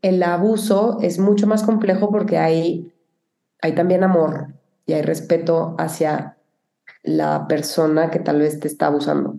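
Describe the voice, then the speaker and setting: This woman has a fairly low pitch. Her tone is dark and mellow. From Mexico (Cuauhtémoc, Chihuahua). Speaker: film producer. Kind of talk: interview conversation.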